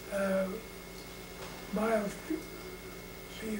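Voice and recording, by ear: Over clear background noise, a man talks at a high pitch with little pitch movement.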